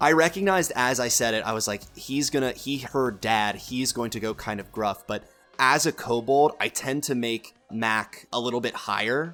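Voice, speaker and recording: Music plays in the background as a man talks at a moderate pace in a medium pitch with ordinary pitch variation. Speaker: voice actor discussing character voices.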